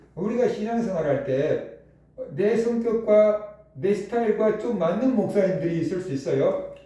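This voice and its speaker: Over noticeable background noise and audible room echo, a man speaks at a moderate pace in a high voice. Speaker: pastor. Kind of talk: sermon.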